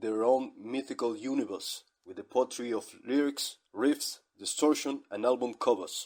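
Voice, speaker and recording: A man with a non-native accent speaks at a moderate pace. His voice sits at a medium pitch. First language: not English. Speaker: online radio host. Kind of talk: scripted monologue.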